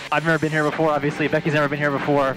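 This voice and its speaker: A man is heard with clear music playing in the background. The sound is dry, with no echo. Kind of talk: casual vlog chat. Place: plane. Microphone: headset.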